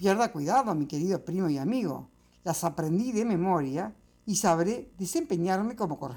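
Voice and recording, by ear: The speaker reads aloud in a natural voice, and the intonation is lively.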